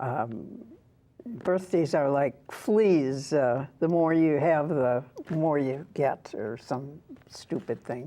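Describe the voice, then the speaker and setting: A woman speaks in a very deep, low voice with a dark, mellow tone. Her pace is very slow. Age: 80s+. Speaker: author and former public radio broadcaster. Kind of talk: interview.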